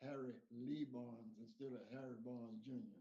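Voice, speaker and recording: A man with a Texan accent, medium pitch, a dark, mellow tone and ordinary pitch variation, in audible room echo. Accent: Texan Southern US. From Texas, Dayton. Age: 80s+. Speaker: interview guest. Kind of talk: interview. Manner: halting.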